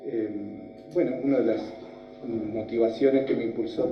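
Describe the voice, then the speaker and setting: A man talks at a fairly slow pace, and audible room echo can be heard around him. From Argentina, Neuquén province (Villa La Angostura). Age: 40s. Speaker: lawyer, judicial candidate. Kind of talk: job interview, formal personal presentation. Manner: many filler sounds (eh, este).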